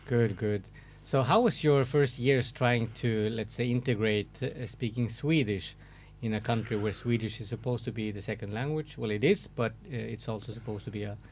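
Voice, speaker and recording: Speaking at a moderate pace and medium pitch, a man shows vocal fry and fairly even intonation. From Sweden. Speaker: podcast host. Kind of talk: podcast interview.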